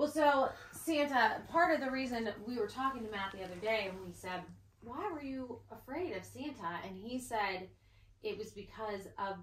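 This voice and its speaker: Light background noise and audible room echo around a woman's voice at a moderate pace. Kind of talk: casual family chat. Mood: happy, excited. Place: home room. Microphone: camera far.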